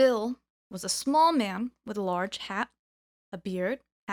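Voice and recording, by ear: A natural read-aloud voice over a quiet backdrop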